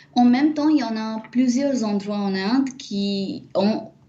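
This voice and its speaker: Somewhat breathy, a woman speaks at a very slow pace. Audible room echo surrounds her. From India, Mumbai. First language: not French; Indian language (speaking French). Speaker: Sanskrit scholar and teacher. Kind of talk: interview. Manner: hesitant, many fillers.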